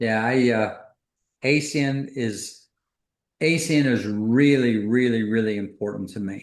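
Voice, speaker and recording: A man speaks with an American accent. His pitch sits in the medium range, with ordinary variation. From US Midwest, Detroit. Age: 60s. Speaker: business executive, co-founder. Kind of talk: video call interview on leadership.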